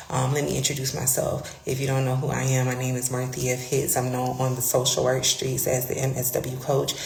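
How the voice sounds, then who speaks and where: A whispering woman with an American accent at a moderate pace, amid audible room echo and noticeable background noise. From Florida, Palm Beach County. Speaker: career coach. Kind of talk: livestream monologue. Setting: public space, live stream. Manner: hesitant, filler words.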